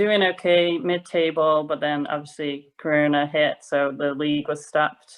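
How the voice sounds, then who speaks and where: A woman with a very deep, low pitch speaks at a fairly slow pace in a slight American accent. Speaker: professional volleyball player. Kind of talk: interview.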